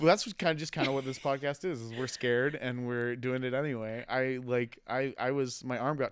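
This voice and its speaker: A man speaks at medium pitch and a fairly quick pace. He hardly pauses and keeps his intonation fairly even. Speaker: podcast host and comedy show organizer. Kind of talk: casual chat. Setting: studio. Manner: loud.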